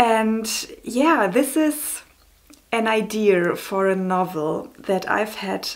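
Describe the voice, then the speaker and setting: A woman speaks in a German accent at a fairly high pitch. Her pitch varies in an ordinary way, with noticeable background noise. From Germany. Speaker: novelist and book vlogger. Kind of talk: casual vlog. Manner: hesitant, many fillers.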